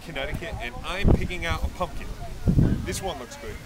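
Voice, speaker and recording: Loud background noise surrounds a man speaking in a dry sound with no echo. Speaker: home video host. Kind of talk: casual comic vlog chat. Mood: playful, mock-serious. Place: farm. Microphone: phone near.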